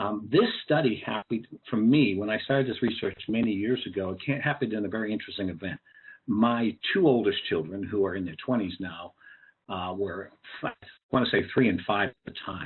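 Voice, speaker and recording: A man with a New England accent speaks at a fairly quick pace in a fairly low voice. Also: ordinary pitch variation. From New England (Cambridge, Massachusetts). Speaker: educator and speaker on social emotional learning. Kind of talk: webinar presentation. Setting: online webinar. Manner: conversational with frequent fillers.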